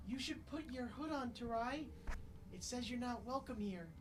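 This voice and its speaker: Over loud background noise, a put-on character voice with a fairly high pitch speaks at a moderate pace. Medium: actual play. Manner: cautious, gently advising.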